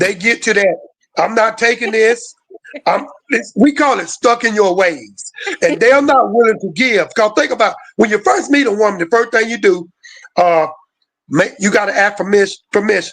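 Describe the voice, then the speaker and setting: High pitch for a man, with ordinary pitch variation and a moderate pace. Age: 60s. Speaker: podcast guest. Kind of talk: casual chat.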